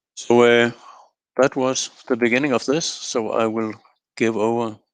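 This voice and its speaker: Over a quiet background, a man talks at a fairly slow pace with long, frequent pauses. His pitch is medium and his intonation fairly even. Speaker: quality management consultant. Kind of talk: webinar presentation. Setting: online webinar. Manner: calm.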